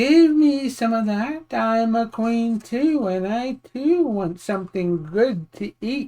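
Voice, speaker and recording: A female-sounding voice performs a put-on character voice at a fairly high pitch. The delivery is fairly slow. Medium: read story. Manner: sly, insistent.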